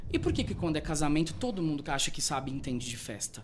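A man talks at a fairly quick pace with a fairly high pitch. His is a plain, everyday voice. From Brazil, Rondonópolis, Mato Grosso. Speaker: event planner. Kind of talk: interview.

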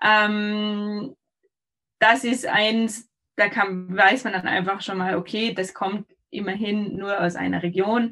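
A woman speaks very slowly with a bright, sharp tone. Her pitch is medium and her intonation fairly even. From Austria. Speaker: olive oil and almond producer. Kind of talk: casual interview.

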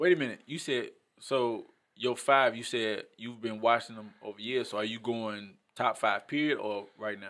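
A man with an American accent talks at a moderate pace in a medium pitch. The recording is very clean and the background silent. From Maywood, Illinois (Chicago area). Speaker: artist and author. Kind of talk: casual sports chat. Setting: studio. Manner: animated.

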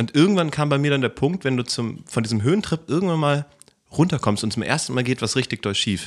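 This man talks very fast at a fairly high pitch. His intonation is lively. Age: 20s. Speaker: computer science student and event technician. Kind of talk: casual chat.

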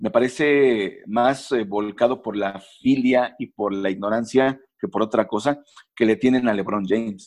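This is a plain, everyday voice, a man at medium pitch speaking at a fairly slow pace with ordinary pitch variation against a quiet background. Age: 40s. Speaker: sports journalist. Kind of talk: casual interview.

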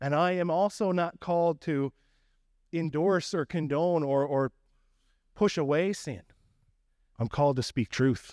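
A man with a fairly high pitch and a slight Newfoundland accent, fairly slow with long, frequent pauses, ordinary pitch variation, dry and close with no echo, very clean recording against a silent background. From Newfoundland, Canada. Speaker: pastor. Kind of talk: sermon. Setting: church.

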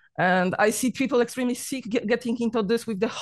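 Against a quiet background, a woman speaks with a Polish accent. Her pitch is fairly high. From Poland. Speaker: vegan diet YouTuber. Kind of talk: casual interview. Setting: video call. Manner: talkative; laughs often.

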